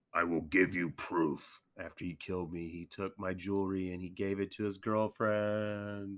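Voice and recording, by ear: A put-on, growling character voice from a man, fairly low in pitch, at a moderate pace, on a very clean recording with a silent background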